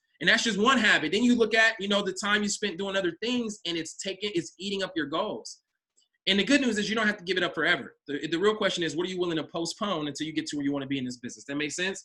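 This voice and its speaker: Using a raised, projected voice, a man talks at a very fast pace with high pitch, a bright, sharp tone and lively intonation. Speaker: business coach. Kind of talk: online coaching session. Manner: casual.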